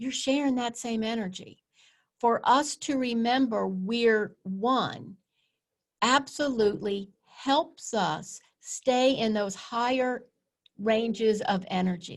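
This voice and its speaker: A woman speaks very slowly in a fairly high voice, with ordinary pitch variation. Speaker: wellness speaker. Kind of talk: presentation. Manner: animated.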